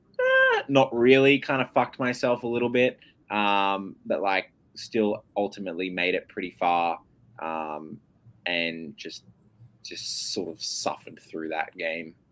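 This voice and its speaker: This man talks at a fairly slow pace. He speaks with an Australian accent. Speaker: online game contestant. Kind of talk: casual chat. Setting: live stream.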